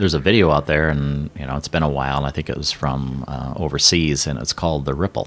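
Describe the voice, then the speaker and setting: A man with a very deep, low voice talks at a very fast pace with hardly any pauses and fairly even intonation over noticeable background noise. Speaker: former radio broadcaster, emcee and auctioneer. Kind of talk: interview answer.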